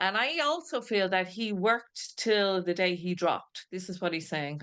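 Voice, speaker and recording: A woman with an Irish accent, medium pitch, ordinary pitch variation and a moderate pace, in a quiet background. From Ireland, Dublin. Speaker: spiritualist medium. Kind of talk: mediumship demonstration. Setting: video call. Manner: halting.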